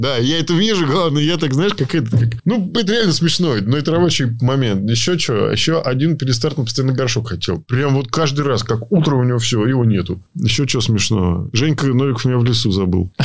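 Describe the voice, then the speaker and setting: With a plain, everyday voice, a man speaks at a fairly quick pace and medium pitch, using lively intonation, very even loudness and hardly any pauses. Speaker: rally co-driver. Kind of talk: casual chat.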